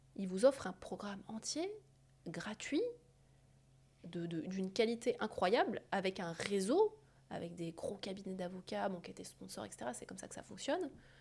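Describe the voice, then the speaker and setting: At a moderate pace, a woman speaks with big swings in loudness and long, frequent pauses. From France. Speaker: surgeon and entrepreneur. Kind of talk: interview conversation. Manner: hesitant, many fillers and repetitions.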